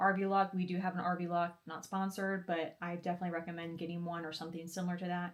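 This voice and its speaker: A soft-spoken woman's voice, fairly low in pitch. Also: very clean recording, silent background. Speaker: RV lifestyle vlogger. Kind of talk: tutorial. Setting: grandmother's home office. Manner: fast.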